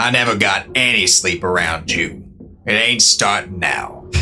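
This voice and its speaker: A man puts on a character voice, fairly low in pitch, at a moderate pace. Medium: audio drama. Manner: dry, laconic, drawling.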